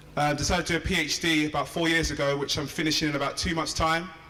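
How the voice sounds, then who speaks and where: Very fast, flat and monotone speech from a fairly high-pitched man, with audible room echo and noticeable background noise. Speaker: PhD student and entrepreneur. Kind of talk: inspirational speech. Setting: stage with audience.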